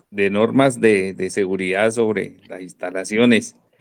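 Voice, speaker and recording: The speaker is a man. His voice has a fairly low pitch. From Colombia. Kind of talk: casual comment on an amateur radio net.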